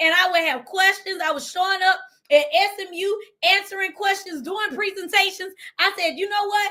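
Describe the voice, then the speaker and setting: Raised and projected, the voice carries a bright, sharp, animated tone with an American accent, ordinary pitch variation and a moderate pace. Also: woman. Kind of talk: motivational talk. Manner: loud.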